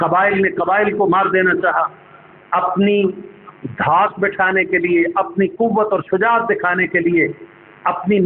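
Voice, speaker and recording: A man speaks with a high pitch and very even loudness. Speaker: Islamic scholar giving a sermon. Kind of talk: Islamic lecture / sermon (bayan).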